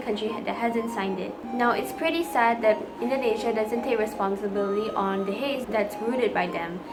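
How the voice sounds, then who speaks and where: A woman talks fairly quickly, her pitch varying in an ordinary way, with noticeable background noise behind her. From Malaysia. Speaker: student. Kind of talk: class assignment vlog talk to camera. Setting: low-quality recording. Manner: stuttering.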